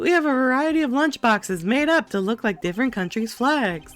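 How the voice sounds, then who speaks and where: A man's put-on character voice, extremely high in pitch, at a fairly quick pace, with faint music in the background. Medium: game stream. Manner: bright, salesy.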